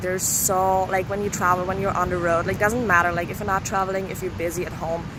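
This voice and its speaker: A woman talking very fast at a medium pitch with a non-native accent, amid noticeable background noise and audible room echo. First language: not English. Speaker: yoga guide and vlogger. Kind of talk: casual vlog introduction. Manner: casual, filler-heavy rambling talk.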